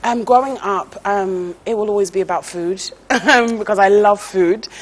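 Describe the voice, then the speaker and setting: A woman with a strong British accent, medium pitch, fairly even intonation and moderate pace, over noticeable background noise. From England. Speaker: TV presenter and former teacher. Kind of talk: interview.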